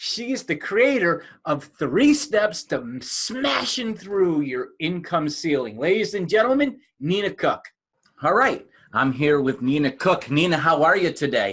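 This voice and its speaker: A man with a high-pitched voice and an American accent speaks at a fairly slow pace. His pitch swings very widely. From United States. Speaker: podcast host. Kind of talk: podcast interview.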